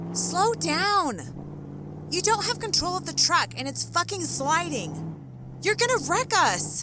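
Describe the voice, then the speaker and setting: Very slowly, a woman talks while noticeable background noise runs underneath. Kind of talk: audiobook character dialogue.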